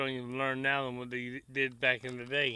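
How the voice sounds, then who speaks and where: The man's voice has a medium pitch. He speaks at a moderate pace. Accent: Tennessee. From Tennessee, US South. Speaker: cooking vlogger. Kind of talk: casual chat to camera. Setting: outdoors by the grill. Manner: relaxed, folksy.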